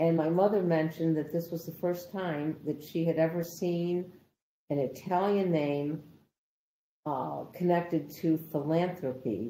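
Speaking fairly slowly in an American accent, a woman has a dark, mellow tone, with audible room echo around her. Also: fairly low pitch for a woman, fairly even intonation. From Rochester, New York, USA. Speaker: oral history interviewee. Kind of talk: oral history interview answer, recalling a memory. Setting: remote recorded interview (video call). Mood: reflective, warmly nostalgic.

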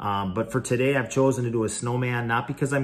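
A man speaks, his intonation fairly even throughout. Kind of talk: casual vlog chat. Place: home room. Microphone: phone near.

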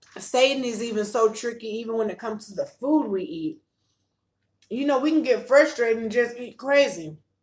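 A woman speaks with lively intonation and big swings in loudness. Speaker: vlogger. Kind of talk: casual vlog chat with faith talk. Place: home room. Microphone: phone near.

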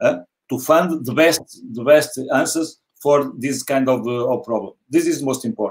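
With ordinary pitch variation, a man speaks fairly slowly against a quiet background. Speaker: football coach. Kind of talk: panel interview. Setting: video call. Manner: halting. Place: home room.

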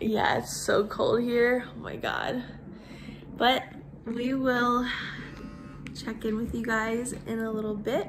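A woman speaks extremely slowly with music running behind her. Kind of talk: casual vlog chat. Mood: cheerful, relaxed. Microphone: phone near.

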